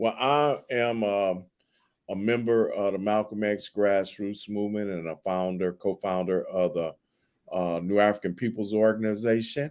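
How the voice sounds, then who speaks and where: The intonation here stays fairly even. A man delivers it at a moderate pace. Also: fairly low pitch for a man. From US West Coast, Compton, Los Angeles. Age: 60s. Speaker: professor and activist. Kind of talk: interview.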